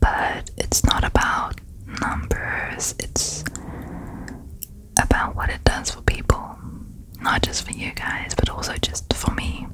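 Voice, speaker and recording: A soft-spoken woman whispering at a very slow pace, with long, frequent pauses, dry sound with no echo, and light background noise. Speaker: ASMR creator. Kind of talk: soft casual ASMR chat. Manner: soft close-mic ASMR whisper. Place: home room. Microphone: studio mic.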